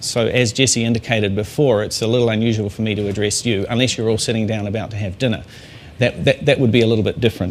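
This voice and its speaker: A man talks at a very fast pace with a New Zealand accent. His medium-pitched voice stays monotone and flat. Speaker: master sommelier. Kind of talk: talk to an audience. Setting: talk to a company audience.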